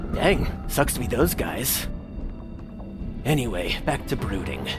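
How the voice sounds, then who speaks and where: Against loud background noise, a man uses a put-on character voice at a medium pitch and a fairly slow pace. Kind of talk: comic fandub parody.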